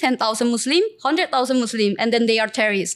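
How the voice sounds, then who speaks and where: A woman with a Korean accent speaks at a high pitch. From South Korea, Seoul. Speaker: entrepreneur and influencer. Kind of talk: interview. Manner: halting.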